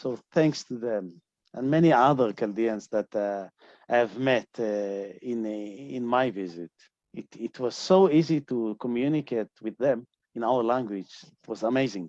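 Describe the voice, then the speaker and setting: Against a quiet background, a man speaks with a Middle Eastern accent. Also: medium pitch for a man, ordinary pitch variation, fairly slow pace, dry, close sound with no echo. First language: Aramaic. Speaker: scholar and activist. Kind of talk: interview. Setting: video call. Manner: halting.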